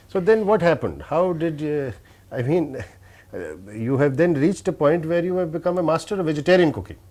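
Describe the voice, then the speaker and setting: A man speaks with hardly any pauses and ordinary pitch variation. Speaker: interviewer. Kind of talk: interview questions.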